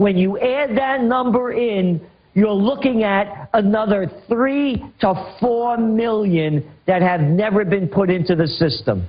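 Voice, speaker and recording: At a very slow pace with hardly any pauses, a man speaks in a high pitch with ordinary pitch variation and very even loudness. Noticeable background noise is present. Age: 60s. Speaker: trends forecaster. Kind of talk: radio interview. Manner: animated.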